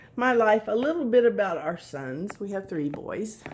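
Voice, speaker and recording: Very wide pitch swings in a woman's voice of medium pitch. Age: 60s. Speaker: author and crafter. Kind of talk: casual DIY tutorial chat. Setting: at home, dining room. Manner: casual, hesitant with fillers.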